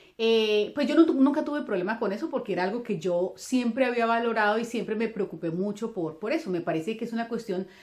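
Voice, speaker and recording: With a Colombian accent, a woman speaks at a very fast pace with hardly any pauses, using lively intonation at a fairly high pitch. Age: 40s. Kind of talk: religious reflection talk. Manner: halting with many fillers.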